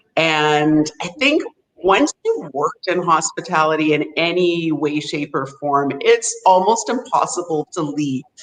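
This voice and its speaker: Speaking in an ordinary speaking voice with a Canadian accent, a woman talks at a fairly slow pace and fairly low pitch with ordinary pitch variation. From Vancouver, Canada. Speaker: hotel sales representative. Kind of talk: interview.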